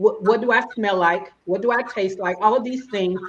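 A woman speaks in an Alabama accent. Her pitch variation is ordinary. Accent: Alabama Southern. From Alabama, US South. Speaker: business operations consultant. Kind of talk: casual interview.

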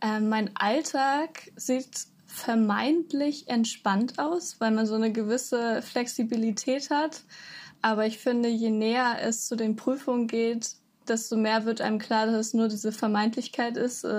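A woman with an ordinary speaking voice, fairly high pitch, fairly even intonation, very even loudness and a fairly slow pace. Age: 20s. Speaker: university student. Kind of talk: interview. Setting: video call.

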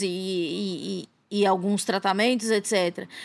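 The recording is very clean and the background silent. A woman talks at a very slow pace. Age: 30s. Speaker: journalist and podcaster. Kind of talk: casual interview chat. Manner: hesitant, many fillers.

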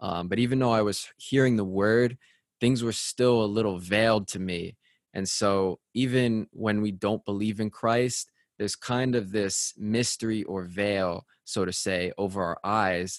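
A man speaks in a plain, everyday voice at a fairly slow pace, fairly low in pitch with fairly even intonation, the sound dry and close with no echo against a quiet background. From Connecticut, US. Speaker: radio host. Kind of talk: casual chat.

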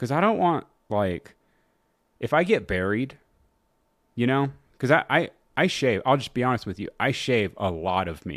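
This man has a medium pitch, vocal fry and an animated tone, with very wide pitch swings. He keeps a moderate pace with long, frequent pauses on a very clean recording with a silent background. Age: 30s. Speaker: podcast host and comedian. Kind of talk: casual solo chat.

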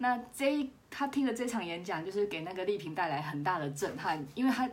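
A woman in a Taiwanese accent, with lively intonation at a moderate pace. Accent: Taiwanese Mandarin. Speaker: podcast host. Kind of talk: casual solo podcast monologue. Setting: wearing a clip-on microphone. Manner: quiet, low volume.

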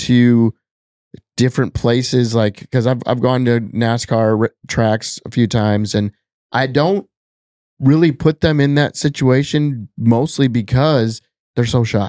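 A man's voice, medium in pitch with ordinary pitch variation, at a very slow pace with long, frequent pauses, dark, mellow tone, very even loudness and a dry, close sound with no echo. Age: 40s. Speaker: social media comedian and business owner. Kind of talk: casual chat. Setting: in-person home studio.

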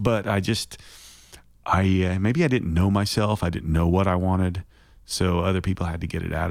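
A man with an Oklahoma accent speaks at a moderate pace in a very deep, low voice. His intonation stays fairly even, and the recording is very clean with a silent background. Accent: Oklahoman. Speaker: songwriter. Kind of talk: casual interview chat.

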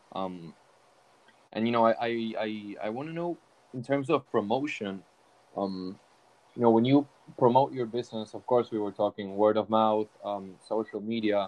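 A man at a medium pitch and moderate pace, with ordinary pitch variation and long, frequent pauses. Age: young. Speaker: podcast host. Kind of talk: casual interview. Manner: halting, many fillers.

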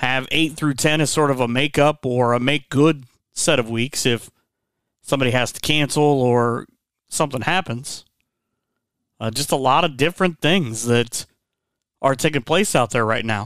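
A man at a medium pitch and moderate pace, with ordinary pitch variation and long, frequent pauses, on a very clean recording with a silent background and a dry, close sound with no echo. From Northwest Ohio. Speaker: podcast host. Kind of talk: interview, casual conversation.

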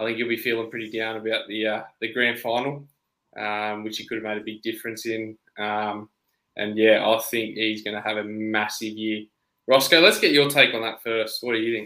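A man speaks with an Australian accent, using monotone, flat intonation and a bright, sharp tone. The recording is very clean with a silent background. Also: medium pitch for a man, moderate pace. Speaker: podcast co-host. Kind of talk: casual chat.

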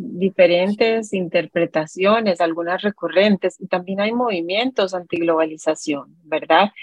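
With a Costa Rican accent, a woman talks at a fairly slow pace with hardly any pauses, using a medium pitch and ordinary pitch variation. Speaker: radio host. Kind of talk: educational radio interview.

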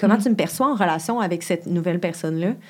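On a very clean recording with a silent background, a woman speaks in a plain, everyday voice at a medium pitch with ordinary pitch variation. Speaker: sexologist. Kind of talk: casual chat.

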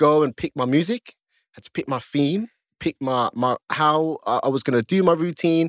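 A man with a fairly high pitch speaks with lively intonation at a moderate pace. The sound is dry and close, with no echo. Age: 30s. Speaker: stripper and MMA fighter. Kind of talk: casual chat. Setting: studio. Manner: animated.

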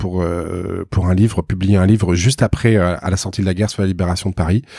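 The tone is dark and mellow, delivered at a fairly quick pace. The sound is dry and close with no echo, the recording very clean and the background silent. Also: man. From Bordeaux, France. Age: 40s. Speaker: auctioneer. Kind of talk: interview. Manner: halting, many repetitions.

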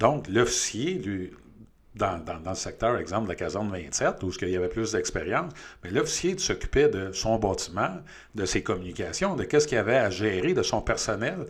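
A man with a Quebec accent talks in a fairly low, somewhat breathy voice with very wide pitch swings. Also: moderate pace. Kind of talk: interview.

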